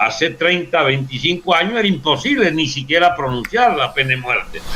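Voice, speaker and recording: There is noticeable background noise as a man talks in a high pitch. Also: lively intonation, moderate pace. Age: 70s. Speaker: politician. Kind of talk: interview.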